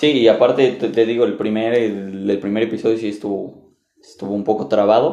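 A man with a Mexican accent talks at a fairly quick pace in a medium pitch with ordinary variation. His tone is dark and mellow, and audible room echo surrounds him. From Mexico. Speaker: podcast host. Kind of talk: casual chat.

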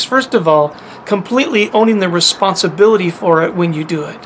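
Against noticeable background noise, a man speaks at a fairly quick pace in a high pitch with ordinary pitch variation. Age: 50s. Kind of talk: teaching monologue to camera.

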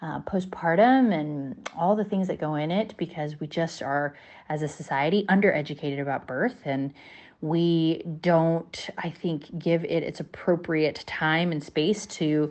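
A woman's normal speaking voice, fairly low in pitch, at a fairly slow pace with ordinary pitch variation. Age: 30s. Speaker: podcast co-host. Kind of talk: casual chat.

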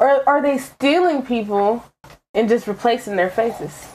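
This is a woman with a high pitch. The recording is very clean, with a silent background. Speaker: podcast host. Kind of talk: casual chat.

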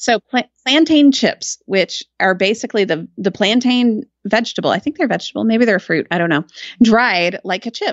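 Delivered at a moderate pace with lively intonation, this is an ordinary speaking voice with an American accent. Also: woman, fairly high pitch for a woman. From Texas, Austin. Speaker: writer and podcaster. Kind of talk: casual chat.

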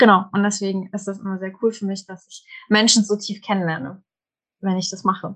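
A woman with a plain, everyday voice talks fairly quickly at medium pitch, her intonation fairly even but her loudness swinging widely. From Germany, small village. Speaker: human design coach. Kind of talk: casual chat.

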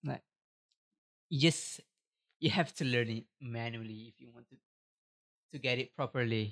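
With a Malaysian accent, a man speaks at medium pitch and a moderate pace, his loudness swinging widely and his speech broken by long, frequent pauses, with ordinary pitch variation and a dry, close sound with no echo. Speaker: podcaster. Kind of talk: casual solo podcast monologue. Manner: halting, filler-heavy, casual.

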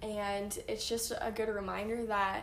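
A woman's fairly high voice at a fairly slow pace, over noticeable background noise. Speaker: podcast co-host. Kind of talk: casual chat. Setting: Instagram live recording.

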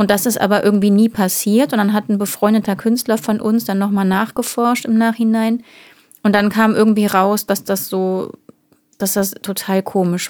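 This woman speaks at a medium pitch and moderate pace, her intonation flat and monotone. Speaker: singer and podcast co-host. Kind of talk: casual chat. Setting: small home studio.

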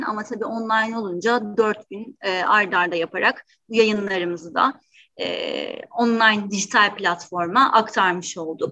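A woman with a bright, sharp tone speaks fairly slowly at medium pitch with ordinary pitch variation. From Turkey, Istanbul. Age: 30s. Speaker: university career center director. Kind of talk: webinar interview. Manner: hesitant, frequent fillers.

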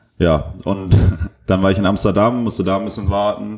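The man's voice has a dark, mellow tone and a fairly low pitch. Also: very clean recording, silent background. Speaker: podcaster. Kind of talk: casual monologue. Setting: hotel room.

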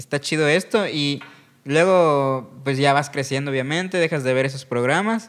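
A man talks at a fairly slow pace in an ordinary speaking voice. His pitch is fairly high, with ordinary variation. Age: 20s. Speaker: stand-up comedian. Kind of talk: casual chat.

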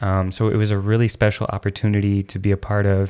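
The recording is very clean, with a silent background. A man with a fairly low pitch speaks at a fairly quick pace. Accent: American. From Chicago, US. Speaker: podcast host, rave dancer. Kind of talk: casual chat.

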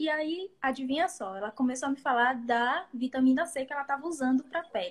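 Lively intonation marks a woman speaking at a fairly quick pace. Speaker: beauty therapist and podcast co-host. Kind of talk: casual chat. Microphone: too quiet, far from mic, bad internet.

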